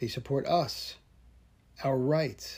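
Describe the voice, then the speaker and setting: In a very clean recording with a silent background, a man with an American accent speaks at a very slow pace, his fairly high pitch showing ordinary variation and his somewhat breathy voice carrying a dark, mellow tone. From New Jersey. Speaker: podcast host, firearms trainer. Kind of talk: solo podcast monologue. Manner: casual, conversational.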